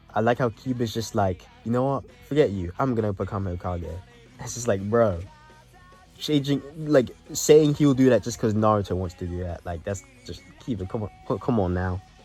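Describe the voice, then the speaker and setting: Music plays in the background as a man of medium pitch speaks at a moderate pace with ordinary pitch variation and long, frequent pauses. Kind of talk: casual anime review talk to camera. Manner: quiet.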